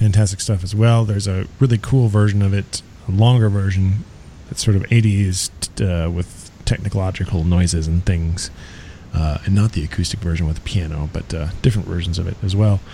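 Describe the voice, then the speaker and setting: Background noise is noticeable behind the voice. The pace is moderate and the intonation fairly even. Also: man, very deep, low pitch for a man. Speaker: radio host. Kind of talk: radio DJ patter, introducing a song between tracks. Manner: casual, chatty, relaxed.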